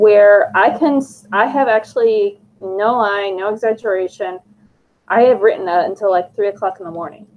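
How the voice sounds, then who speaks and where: At a moderate pace and medium pitch, a woman speaks with ordinary pitch variation in a plain, everyday voice. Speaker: podcast co-host. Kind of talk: casual chat.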